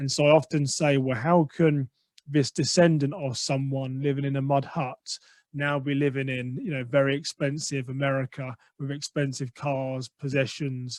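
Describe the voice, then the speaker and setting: This man has an English accent and a fairly high pitch. He talks at a moderate pace in a flat monotone, and the sound is dry and close with no echo. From England. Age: 40s. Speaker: podcaster and mindset coach. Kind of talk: interview.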